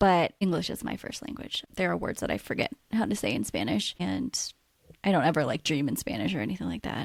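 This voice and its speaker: This voice swings very widely in pitch, with vocal fry throughout. It carries a West Coast US accent. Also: woman. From US Pacific Northwest, Washington state. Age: 30s. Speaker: podcast co-host, nurse. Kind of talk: casual chat.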